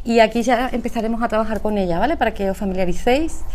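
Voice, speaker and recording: With audible room echo around her, a woman speaks at a very fast pace and a fairly high pitch. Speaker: speaker at a business conference, emotional intelligence trainer. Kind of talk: conference talk.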